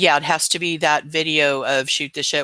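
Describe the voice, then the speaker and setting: In a very clean recording with a silent background and a dry, close sound free of echo, a man with a fairly high pitch talks fairly quickly in a flat monotone. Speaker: live stream host. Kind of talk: casual chat. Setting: live stream. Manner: casual, hesitant with fillers.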